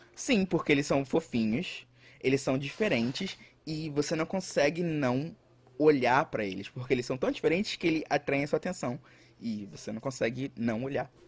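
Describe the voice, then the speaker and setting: A man's fairly high, somewhat breathy voice at a moderate pace, with ordinary pitch variation. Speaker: podcast co-host. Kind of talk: casual chat. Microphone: echo in recording.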